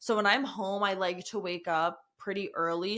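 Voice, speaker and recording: A woman's bright, sharp voice at a medium pitch, with fairly even intonation and an American accent. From New Jersey / New York area. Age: 20s. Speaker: podcast host, guest. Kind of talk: casual chat. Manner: stutters at times.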